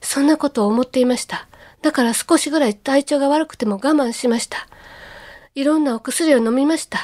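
A woman with a high pitch speaks at a fairly quick pace, with ordinary pitch variation. Her loudness swings widely, and the sound is dry and close with no echo. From Kobe, Japan. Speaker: public speaker and ocarina player. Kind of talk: radio lecture.

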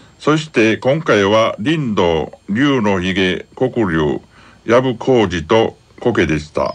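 The speaker goes at a very slow pace while the pitch swings very widely. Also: man, medium pitch for a man. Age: 60s. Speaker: senior college student radio supporter. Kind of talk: radio interview. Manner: halting.

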